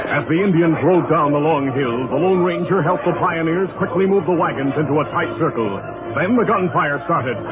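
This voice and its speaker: Fairly quick speech at a very even loudness over noticeable background noise. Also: man, fairly high pitch for a man, ordinary pitch variation. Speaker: radio announcer. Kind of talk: old-time radio drama narration.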